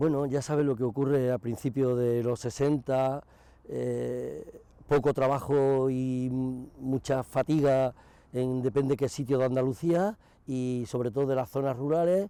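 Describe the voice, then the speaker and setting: At a fairly slow pace, a man speaks in a dark, mellow tone, medium in pitch and fairly even in intonation. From Andalusia, province of Cádiz (rural village). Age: 60s. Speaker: retired mechanic. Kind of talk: interview testimony. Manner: halting, with frequent false starts.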